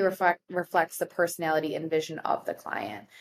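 Speaking at a fairly quick pace with fairly even intonation, a woman uses an ordinary speaking voice that sits fairly low in pitch. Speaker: wedding planner. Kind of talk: casual chat.

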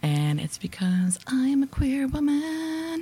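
A woman's somewhat breathy voice with very wide pitch swings and an American accent. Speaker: podcast host. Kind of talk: casual conversation interview. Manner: self-described ums and ahs.

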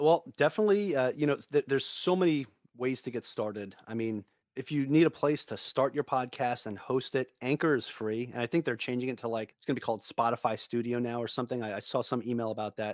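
A man with a New York accent, medium pitch and ordinary pitch variation, at a very fast pace. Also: dry, close sound with no echo. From Long Island, New York. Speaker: real estate investor and podcaster. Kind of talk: casual interview.

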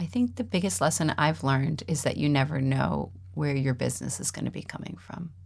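Talking at a fairly quick pace, a woman with a very deep, low pitch makes very wide pitch swings, with vocal fry in her voice. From Minnesota, then Westchester, New York. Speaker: real estate broker. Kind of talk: interview.

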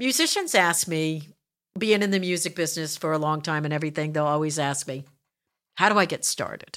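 A woman's very deep, low pitch with ordinary pitch variation and a fairly quick pace, on a very clean recording with a silent background. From South Jersey. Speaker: podcast host. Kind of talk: casual interview chat.

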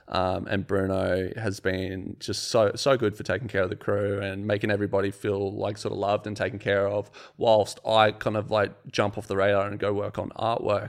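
A man speaks in an Australian accent at a fairly low pitch. He leaves hardly any pauses, and the recording is very clean with a silent background. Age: 30s. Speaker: sculptor and business owner. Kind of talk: casual chat. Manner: animated.

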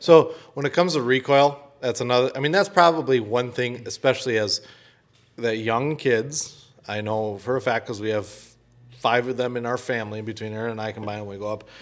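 Music plays in the background as a man with an American accent talks at a fairly quick pace. His pitch is medium, with ordinary variation. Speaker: podcast co-host. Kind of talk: casual chat.

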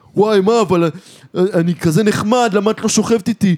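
Putting on a character voice, a man sounds whiny, with a whiny tone, high pitch, fairly even intonation and very even loudness. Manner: whiny, mocking.

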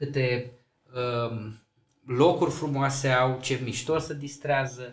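A somewhat breathy man talks at a fairly slow pace, with audible room echo around his voice. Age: 40s. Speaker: mayor. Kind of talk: casual interview.

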